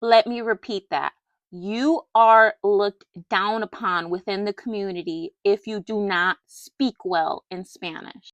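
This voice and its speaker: A woman's shaky voice at medium pitch, fairly slow, with ordinary pitch variation. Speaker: doll collector YouTuber. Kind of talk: personal rant to camera.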